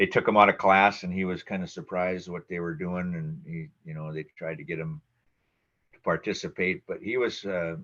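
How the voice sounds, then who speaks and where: Over a quiet background, a man with an Upper Midwest accent speaks at a moderate pace with a very deep, low pitch, a bright, sharp tone, fairly even intonation and big swings in loudness. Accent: Upper Midwest American. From Minnesota, Twin Cities suburbs. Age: 60s. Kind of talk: oral history interview. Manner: halting, many fillers.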